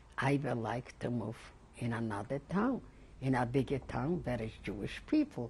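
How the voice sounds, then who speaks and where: A somewhat breathy woman's voice at a very deep, low pitch, with a moderate pace and ordinary pitch variation. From Poland, Lodz. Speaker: Holocaust survivor. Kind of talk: oral history interview. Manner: halting, many repetitions.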